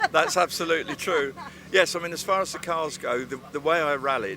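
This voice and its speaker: A man talks at a moderate pace, with ordinary pitch variation, as noticeable background noise plays behind him. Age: 70s. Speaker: retired off-road rally driver and car builder. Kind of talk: casual interview. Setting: outdoor motorsport event arena.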